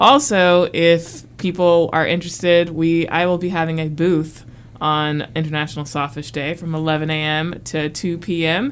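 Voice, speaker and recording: Speaking in an unremarkable speaking voice with an American accent, a woman talks at a fairly slow pace with hardly any pauses, her fairly low pitch held in fairly even intonation. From US South, South Carolina (military brat). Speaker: marine scientist, education program coordinator. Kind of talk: casual interview. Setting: studio, wearing a mask.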